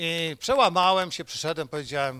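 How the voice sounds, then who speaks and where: Bright and sharp in tone, a man speaks at a high pitch and a moderate pace. The recording is very clean, the background silent. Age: 60s. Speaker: preacher. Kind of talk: sermon.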